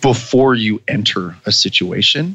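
Here a man speaks with a Canadian accent. His voice is medium in pitch. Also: dry, close sound with no echo. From Canada. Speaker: former Olympic beach volleyball player and coach. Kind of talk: casual interview.

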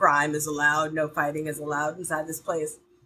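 A woman speaks with an American accent. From US South, Georgia. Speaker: actor and tabletop game player. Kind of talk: casual chat.

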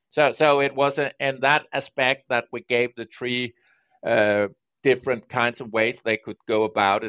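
With a Danish accent, a man speaks at a medium pitch. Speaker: data protection regulator, security specialist and lawyer. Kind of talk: podcast interview. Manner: halting with frequent repetitions.

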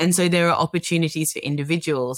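A woman with an Australian accent speaks at a fairly quick pace with a fairly even intonation. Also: dry, close sound with no echo. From Australia, Melbourne. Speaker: tech product executive. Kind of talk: interview.

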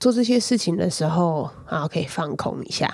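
With a plain, everyday voice, a woman speaks at a fairly low pitch and a moderate pace, her intonation lively, in a very clean recording with a silent background. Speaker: podcast host. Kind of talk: casual chat.

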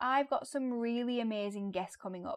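A woman talks at a fairly quick pace with ordinary pitch variation, in an unremarkable speaking voice. The sound is dry and close with no echo, over a quiet background. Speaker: podcast host, former teacher. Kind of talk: casual interview.

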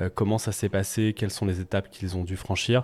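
A man speaks with a dark, mellow tone on a very clean recording with a silent background. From France, Nantes. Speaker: restaurant entrepreneur and mentor. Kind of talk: panel discussion. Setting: recorded in a café.

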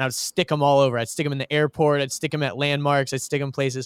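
Recorded dry and close with no echo, a man with an American accent talks in a fairly high pitch. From US South, Georgia (outside Atlanta). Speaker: creative director at a marketing agency. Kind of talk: casual interview chat.

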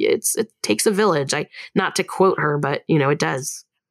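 A woman with a Californian accent speaks at a moderate pace, fairly low in pitch with ordinary pitch variation. Her sound is dry and close with no echo, on a very clean recording with a silent background. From Long Beach, California. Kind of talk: casual chat.

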